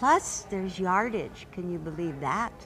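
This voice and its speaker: A woman speaks at a medium pitch with lively intonation. The room echo is audible and background noise is noticeable. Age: 70s. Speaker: quilting teacher and author. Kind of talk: casual interview chat. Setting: in-person interview with crowd nearby. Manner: animated.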